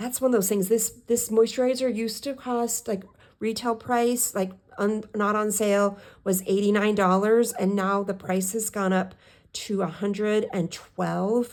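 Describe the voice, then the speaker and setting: A soft-spoken woman at medium pitch, with fairly even intonation, a moderate pace and a very clean recording against a silent background. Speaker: budgeting vlogger. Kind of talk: casual budget walkthrough. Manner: halting, self-correcting. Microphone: new microphone, hopefully louder.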